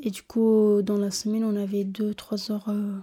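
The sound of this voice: A woman speaks at medium pitch and a fairly slow pace, her dark, mellow tone carrying a slightly husky edge with little pitch movement.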